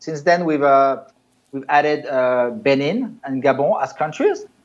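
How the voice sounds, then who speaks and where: A man speaks in a plain, everyday voice, fairly high in pitch. His pace is fairly slow, with ordinary pitch variation. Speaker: startup co-founder. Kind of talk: business interview.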